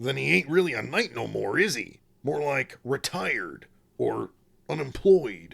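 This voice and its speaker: Putting on a gruff character voice at medium pitch, a man speaks at a moderate pace. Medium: read story. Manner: gruff, blunt, rough slangy speech.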